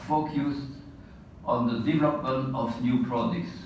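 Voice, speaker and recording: A man talking fairly slowly, with audible room echo and noticeable background noise. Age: 80s+. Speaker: retired engineer and colleague giving award tribute. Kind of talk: prepared tribute speech. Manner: formal.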